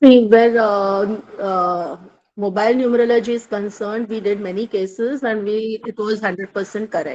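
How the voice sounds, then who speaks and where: Using fairly even intonation, a woman speaks at a moderate pace with a fairly high pitch. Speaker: course student. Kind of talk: testimony. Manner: hesitant.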